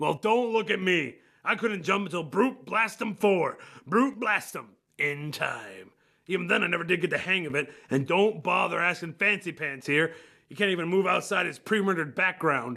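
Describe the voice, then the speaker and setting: A man uses a put-on character voice that is gruff and raspy, pitched high for a man. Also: moderate pace. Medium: comedy sketch. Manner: gruff, crude.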